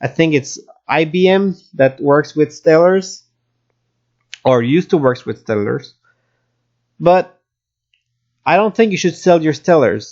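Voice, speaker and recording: Fairly slow speech in a Quebec accent, broken by long, frequent pauses. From Quebec, Canada. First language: French. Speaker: crypto YouTuber. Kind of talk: market analysis commentary. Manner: halting with fillers.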